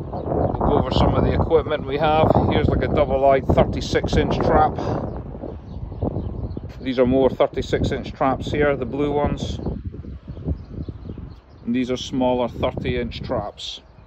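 Noticeable background noise sits under a dry sound with no echo. A man speaks at a fairly slow pace with long, frequent pauses. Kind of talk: casual vlog show-and-tell. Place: waterside. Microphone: phone near.

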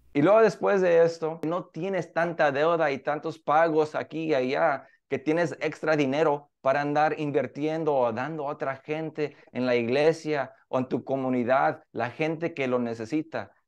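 At a fairly slow pace and with hardly any pauses, a man talks in a fairly high pitch with ordinary pitch variation over a quiet background. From Mexico. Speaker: interviewee. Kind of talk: news interview. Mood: warm, upbeat. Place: office. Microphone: video call.

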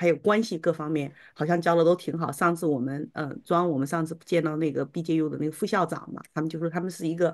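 Against a quiet background, a woman speaks fairly quickly at a fairly low pitch. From China. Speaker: homeschooling mother. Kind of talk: testimony. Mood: appreciative, reflective. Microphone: video call.

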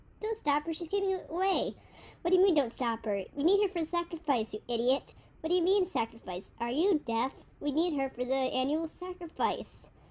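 The voice is put on, like a character. It runs at a fairly quick pace and sits high in pitch. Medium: audio drama. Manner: angry, scolding, exasperated.

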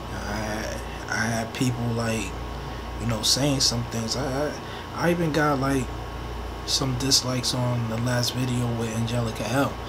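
Speech comes at a fairly slow pace over loud background noise. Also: man. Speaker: vlogger. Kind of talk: casual vlog chat. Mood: earnest, a bit defensive. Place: home room. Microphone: earbuds.

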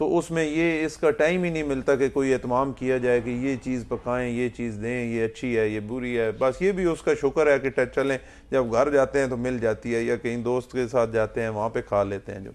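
Hardly any pauses interrupt this man's speech. His pace is moderate and his pitch variation ordinary. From Pakistan, Punjab (Attock district); Punjab, Pakistan. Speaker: politician; politician guest. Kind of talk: interview. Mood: relaxed, reflective. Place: studio. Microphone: lapel.

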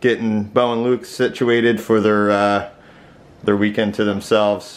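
A man speaks at a fairly low pitch. His pace is moderate. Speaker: vlogger. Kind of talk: casual vlog chat. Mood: cheerful, relaxed. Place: home room. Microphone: phone near.

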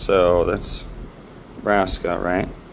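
A man speaks at a fairly slow pace over noticeable background noise. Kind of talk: casual vlog narration. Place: street. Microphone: phone near.

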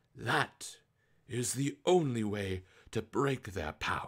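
A man puts on a raspy character voice at medium pitch, using lively intonation and a fairly slow pace. The recording is very clean, with a silent background. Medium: read story. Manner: grave.

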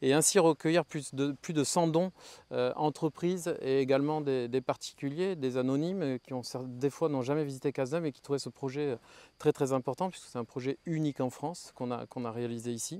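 With a dry sound and no echo, a man speaks at a fairly high pitch and a moderate pace, keeping his intonation fairly even. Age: 40s. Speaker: historic château owner. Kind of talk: interview testimony to camera. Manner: halting, with frequent repetitions and fillers. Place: garden. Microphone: lapel.

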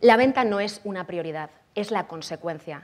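A woman's animated tone with ordinary pitch variation. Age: 30s. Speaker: copywriting expert and conference speaker; conference speaker. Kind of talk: conference talk. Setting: stage with audience. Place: hall.

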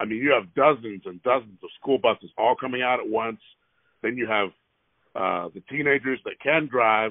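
Loudness swings widely as a man speaks with ordinary pitch variation. The sound is dry with no echo, and the background is quiet. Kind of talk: phone complaint call. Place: car. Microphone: phone near.

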